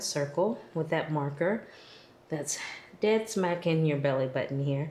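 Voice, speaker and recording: A woman speaks in a calm, gentle tone, with audible room echo around her voice. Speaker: yoga instructor. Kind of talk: guided yoga class. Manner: calm, gentle instruction.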